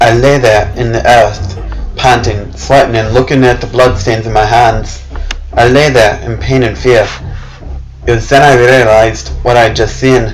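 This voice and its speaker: A man with a medium-pitched voice talks at a fairly slow pace, leaving long, frequent pauses. His pitch varies in an ordinary way, and music plays in the background. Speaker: narrator. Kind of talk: dramatic horror story reading.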